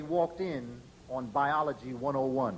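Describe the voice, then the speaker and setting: A man is talking. There is noticeable noise in the background. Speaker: lecturer and educator. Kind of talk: lecture.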